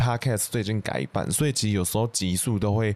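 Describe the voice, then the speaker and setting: A man with a Taiwanese accent at a moderate pace, ordinary pitch variation, and a quiet background. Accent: Taiwanese Mandarin. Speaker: podcast host. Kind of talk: casual chat.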